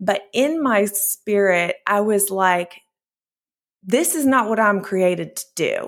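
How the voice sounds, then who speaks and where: A woman with an American accent, medium pitch, ordinary pitch variation, and a very slow pace. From US small towns. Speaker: ministry founder and author. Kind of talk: interview testimony.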